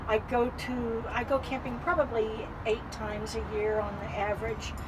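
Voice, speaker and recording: Against noticeable background noise and audible room echo, a woman speaks at a fairly high pitch with fairly even intonation. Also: moderate pace. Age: 70s. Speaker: vintage trailer owner. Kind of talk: casual interview. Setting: inside a trailer at an outdoor event.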